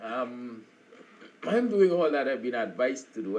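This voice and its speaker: Here a man speaks with lively intonation. The audio carries audible room echo and noticeable background noise. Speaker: live stream host, former teacher. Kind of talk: casual morning talk. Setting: live stream. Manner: halting, many fillers.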